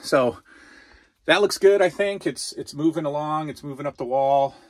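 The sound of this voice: A moderate pace and ordinary pitch variation. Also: man.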